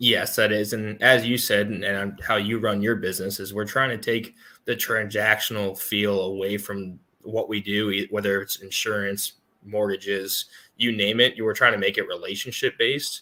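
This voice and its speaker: A man with an American accent, fairly low in pitch with a bright, sharp tone, at a moderate pace and in a monotone, flat intonation, on a very clean recording with a silent background. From US South, North Carolina. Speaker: insurance agent. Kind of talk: casual interview.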